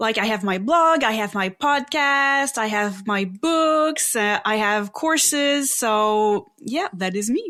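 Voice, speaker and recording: A woman speaks at a very slow pace with hardly any pauses and very even loudness. Her tone is bright and sharp, her pitch fairly high, and her intonation lively. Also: very clean recording, silent background. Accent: French Canadian. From Quebec, Canada. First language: French. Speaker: psychic and spiritual teacher. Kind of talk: interview.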